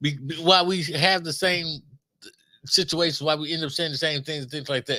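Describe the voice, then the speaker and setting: Speaking at a fairly quick pace with an American accent, a man uses a fairly high pitch and a bright, sharp tone with fairly even intonation. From Los Angeles, South Central. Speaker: podcast co-host. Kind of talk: casual chat.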